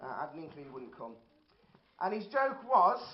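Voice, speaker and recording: A man speaks with a Birmingham accent at a high pitch. There is audible room echo. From Birmingham, England. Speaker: amateur stand-up comedian. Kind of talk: stand-up. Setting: stage with audience.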